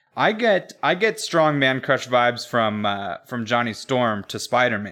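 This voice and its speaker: In a quiet setting, a man with a medium pitch and a bright, sharp tone talks at a fairly slow pace. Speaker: podcast co-host. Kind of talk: casual chat.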